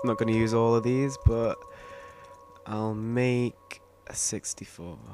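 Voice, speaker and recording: Music plays in the background as a man at a medium pitch speaks at a fairly slow pace with fairly even intonation. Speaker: gaming video creator. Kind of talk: gameplay commentary. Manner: halting.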